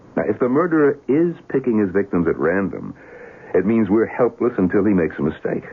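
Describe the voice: A man's put-on character voice, fairly low in pitch, slightly husky at the edge, with big pitch swings at a fairly quick pace.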